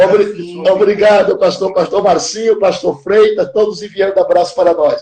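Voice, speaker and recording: A man at a moderate pace, fairly even in intonation but with big swings in loudness. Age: 70s. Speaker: pastor. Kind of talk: casual chat.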